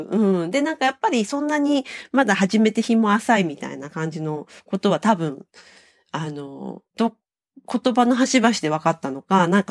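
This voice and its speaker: The voice moves through very wide pitch swings. The sound is dry and close, with no echo. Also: woman. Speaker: podcast co-host. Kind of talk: casual chat. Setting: remote call.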